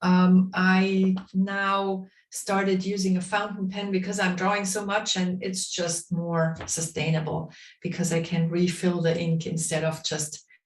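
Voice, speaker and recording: A woman talks at a fairly slow pace with a medium pitch. Her voice is somewhat breathy and her intonation monotone and flat. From Bavaria, Germany. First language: German (Bavarian dialect). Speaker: drawing instructor. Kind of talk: online workshop instruction. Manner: hesitant, many fillers.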